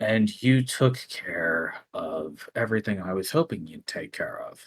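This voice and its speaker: Using a put-on character voice, a man speaks at a fairly slow pace and medium pitch. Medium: actual play. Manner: casual, teasing.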